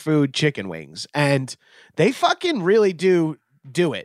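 In a plain, everyday voice, a man speaks at a fairly slow pace and fairly high pitch, in a dry, close recording with no echo, very clean and with a silent background. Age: 40s. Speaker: comedian and podcaster. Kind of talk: casual chat. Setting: live stream.

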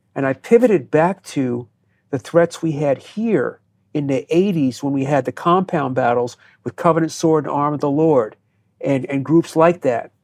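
A plain, everyday voice belongs to this man, who talks at a moderate pace with a fairly high pitch and lively intonation. The sound is dry and close with no echo, over a quiet background. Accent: American. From US Northeast (New Jersey). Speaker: counterterrorism expert and former FBI agent. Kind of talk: interview.

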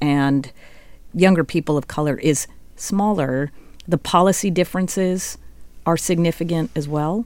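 A woman with a normal speaking voice, fairly low in pitch, with ordinary pitch variation at a fairly slow pace. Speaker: radio host and political analyst. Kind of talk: radio show narration and interview. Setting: studio.

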